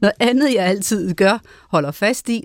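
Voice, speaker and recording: Very clean recording with a silent background, a woman talking at a very slow pace with lively intonation and a dry, close sound without echo. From Denmark. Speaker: radio host. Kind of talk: radio interview.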